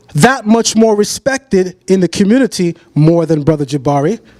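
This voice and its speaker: Noticeable background noise sits under a man's high voice, which is dry and close with no echo. He speaks at a moderate pace with an American accent and very wide pitch swings. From Brooklyn, New York. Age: 30s. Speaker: debater on religion. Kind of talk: debate presentation.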